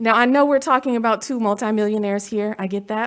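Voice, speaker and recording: A woman talks at a fairly quick pace in an unremarkable speaking voice with ordinary pitch variation, captured in a very clean recording with a silent background. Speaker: commencement speaker. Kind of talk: commencement speech. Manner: formal.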